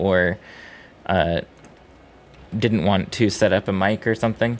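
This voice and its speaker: A man's fairly low voice with an American accent and monotone, flat intonation. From US East Coast, Boston area. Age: 30s. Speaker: video game streamer. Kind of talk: casual chat. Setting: live stream.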